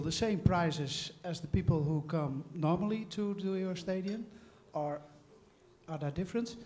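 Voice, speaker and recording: A man with a Dutch accent and a high pitch speaks at a moderate pace with ordinary pitch variation over noticeable background noise. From Netherlands, Groningen. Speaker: supporter group chairman asking question. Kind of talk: audience question. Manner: halting.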